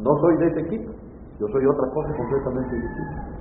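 A man talks at a fairly quick pace, his voice carrying audible room echo amid noticeable background noise. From Mexico, Veracruz, Tlacotalpan. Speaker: poet and reciter. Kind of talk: interview.

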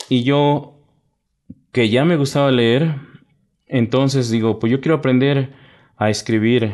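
Speaking at a fairly slow pace, a man keeps a medium pitch, fairly even intonation and very even loudness. Long pauses come often. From Mexico, Sierra Norte de Puebla (Nahua community near Cuetzalan), raised in Mexico City. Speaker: poet and writer. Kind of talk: radio interview. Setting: studio.

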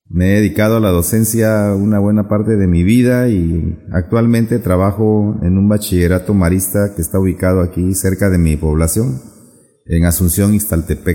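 A dark, mellow voice at a moderate pace, with very even loudness and fairly even intonation. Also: man, fairly low pitch for a man. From Ixtepec, Oaxaca, Isthmus of Tehuantepec, Mexico. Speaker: teacher of Zapotec. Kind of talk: interview. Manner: halting.

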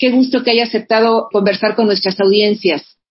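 A somewhat breathy woman's voice, fairly high in pitch, with fairly even intonation. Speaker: radio host. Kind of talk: radio interview.

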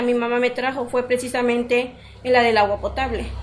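A woman's voice, high in pitch. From Mexico, Morelos (Xoxocotla). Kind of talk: interview.

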